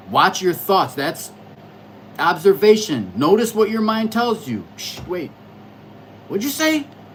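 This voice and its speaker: A fairly slow pace with long, frequent pauses, set against noticeable background noise. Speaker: astrology livestreamer. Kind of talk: casual livestream monologue. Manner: loud.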